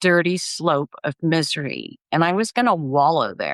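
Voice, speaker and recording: With a normal speaking voice, a woman talks fairly slowly at a fairly low pitch and ordinary pitch variation, recorded dry and close with no echo against a quiet background. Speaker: grief and life coach. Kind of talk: interview testimony.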